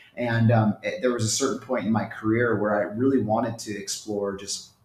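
The speech moves at a fairly quick pace in a monotone, flat intonation. Audible room echo is present. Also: man. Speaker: remote guest. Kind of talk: interview answer. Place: home room. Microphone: earbuds.

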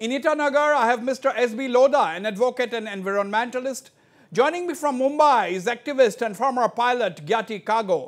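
A man's extremely high-pitched voice at a fairly quick pace over a quiet background. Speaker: news show host. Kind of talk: televised panel debate. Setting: studio. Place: studio.

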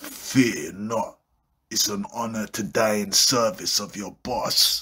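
A man uses a cartoonish character voice at a medium pitch and a fairly slow pace. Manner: cocky, menacing.

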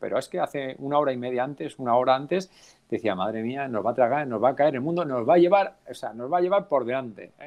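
Against a quiet background, the speech moves at a very fast pace with lively intonation. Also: man. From Navarra, Spain (Alsasua); Navarra, Spain. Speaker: cycling race announcer. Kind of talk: casual interview. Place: home room. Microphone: unstable connection.

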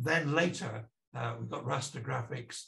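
A man speaks with vocal fry in a North Welsh accent. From North Wales. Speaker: professor. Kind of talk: lecture. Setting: video call. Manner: hesitant, frequent uh fillers. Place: home room. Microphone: webcam.

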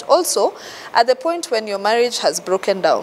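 A woman speaks at a moderate pace. Her fairly high voice makes big pitch swings.

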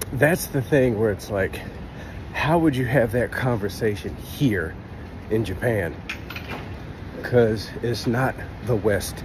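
Amid noticeable background noise, a man talks at a fairly slow pace, pausing long and often. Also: medium pitch for a man, ordinary pitch variation. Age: 30s. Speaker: YouTuber and English teacher. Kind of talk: casual vlog monologue. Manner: halting, with many fillers and repeats.

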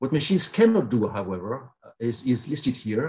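Somewhat breathy, a man speaks at a moderate pace with medium pitch and ordinary pitch variation. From Belgium. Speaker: professor. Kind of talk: keynote lecture. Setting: video call.

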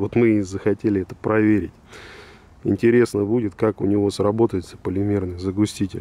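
At a fairly quick pace, a man delivers his words in a fairly low, dark, mellow voice with monotone, flat intonation. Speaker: car oil reviewer. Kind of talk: product review. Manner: casual.

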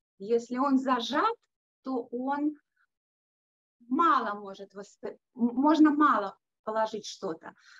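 Against a quiet background, a woman with a high pitch talks at a very slow pace, leaving long, frequent pauses. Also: ordinary pitch variation. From Russia, Leningrad. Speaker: music teacher and yoga therapist; music teacher. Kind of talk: online conference talk. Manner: hesitant with filler sounds. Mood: warm, smiling. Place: studio. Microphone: video call.

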